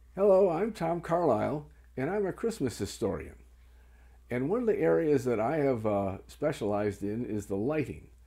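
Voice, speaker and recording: A man talks at a moderate pace in a medium pitch with a dark, mellow tone and very wide pitch swings. The recording is very clean, with a silent background. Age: 70s. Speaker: Christmas historian. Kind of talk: informal explanatory talk showing items. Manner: hesitant with frequent fillers.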